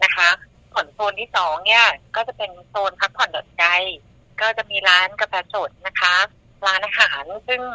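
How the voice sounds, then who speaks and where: A woman with an unremarkable speaking voice talks at a medium pitch with ordinary pitch variation, in a dry, close sound with no echo. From southern Thailand, Songkhla. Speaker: mother running a sufficiency-economy farm and food stall. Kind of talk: casual interview.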